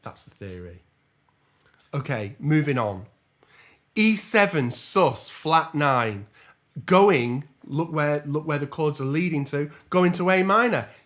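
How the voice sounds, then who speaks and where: A man speaks in an English accent at a fairly high pitch. His pace is fairly slow, and his pitch swings very widely. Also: big swings in loudness. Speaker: jazz trombonist and music teacher. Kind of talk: tutorial.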